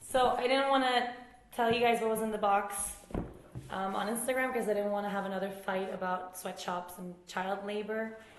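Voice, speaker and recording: A woman's medium-pitched voice in a Swedish accent, fairly even intonation at a moderate pace, with audible room echo and noticeable background noise. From Sweden, Uppsala and Stockholm. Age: 20s. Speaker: yoga teacher. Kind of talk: casual Q&A vlog.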